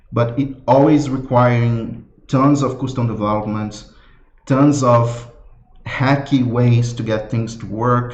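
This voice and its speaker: In a room with audible echo, a man with a non-native accent speaks at a fairly slow pace, his medium-pitched voice somewhat breathy and his intonation fairly even. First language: not English. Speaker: software developer presenting his product. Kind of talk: live product launch presentation. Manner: halting, many fillers and repetitions.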